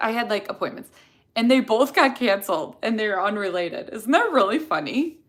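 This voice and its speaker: Animated and lively in intonation, a woman speaks at a fairly high pitch with a Chicago accent. She keeps a fairly quick pace. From Chicago area, US Midwest. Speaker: dental hygienist, video creator. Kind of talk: live stream Q&A, casual chat.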